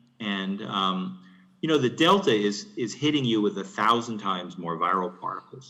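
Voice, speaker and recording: Audible room echo surrounds a man who speaks fairly quickly with a fairly low pitch. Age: 70s. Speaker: physician. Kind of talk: conference Q&A. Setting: conference room. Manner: halting.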